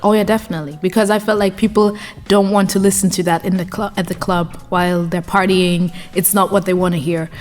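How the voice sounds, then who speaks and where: A woman speaks at a very fast pace with medium pitch and fairly even intonation over noticeable background noise. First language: German. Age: 20s. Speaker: DJ and journalist. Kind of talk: interview. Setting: studio. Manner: hesitant, repeats words.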